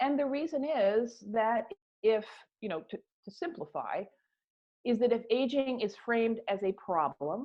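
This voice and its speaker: Here is a woman with an unremarkable speaking voice, fairly high in pitch. She speaks at a fairly slow pace with lively intonation. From US. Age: 60s. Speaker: author and activist on ageism. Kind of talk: interview.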